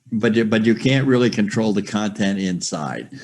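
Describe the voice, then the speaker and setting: With ordinary pitch variation, the delivery keeps a moderate pace. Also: man. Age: 70s. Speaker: software user, retired trader. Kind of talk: group video call discussion. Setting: video call. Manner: halting, many fillers. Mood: candid, slightly resigned. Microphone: video call.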